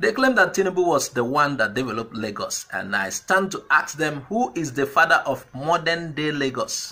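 Hardly pausing, a man with a fairly high pitch and a bright, sharp tone speaks with very wide pitch swings. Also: moderate pace. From Nigeria, Igbo southeast (Anambra). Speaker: political commentary vlogger. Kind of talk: political commentary monologue. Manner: hesitant, frequent fillers. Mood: argumentative, persuasive.

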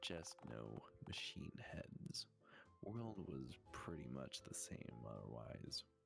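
A man's put-on character voice, husky and very deep, with very wide pitch swings at a very slow pace over clear background noise. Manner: warm, unhurried, soothing.

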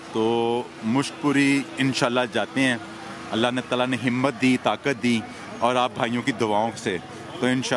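A man's fairly slow, fairly evenly intoned speech, dry with no echo, over noticeable background noise. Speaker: travel vlogger. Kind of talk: casual vlog chat. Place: market. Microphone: phone near.

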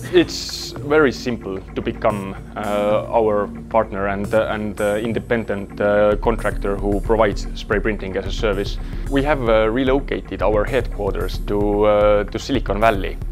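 Over clear background music, a man talks at a moderate pace with hardly any pauses. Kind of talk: interview answer. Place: workshop.

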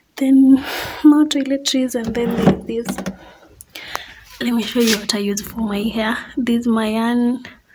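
A woman speaks at a fairly slow pace amid noticeable background noise. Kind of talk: casual vlog chat. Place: home room. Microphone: phone near.

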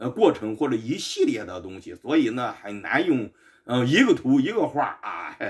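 Over a quiet background, a man speaks at a moderate pace. Both his pitch and loudness swing very widely. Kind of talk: lecture. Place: home room. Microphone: camera far.

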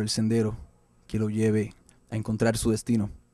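This male voice sits at a medium pitch. It carries a dark, mellow tone. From Puerto Rico. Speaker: band frontman, musician. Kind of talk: band self-introduction to camera.

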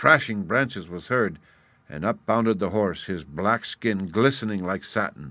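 Ordinary pitch variation in some plain reading aloud.

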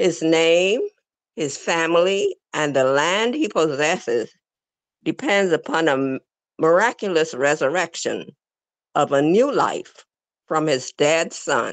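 Speaking very slowly with long, frequent pauses, a woman uses lively intonation and a fairly low pitch, recorded dry with no echo against a quiet background. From The Bahamas. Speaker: religious class speaker; speaker. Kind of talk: reading aloud. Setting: video call. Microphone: video call.

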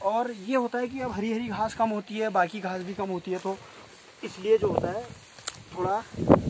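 Loud background noise runs under the speech. The delivery has fairly even intonation at a moderate pace. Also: man, high pitch for a man. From Uttarakhand. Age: 20s. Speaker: dairy farmer. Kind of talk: interview.

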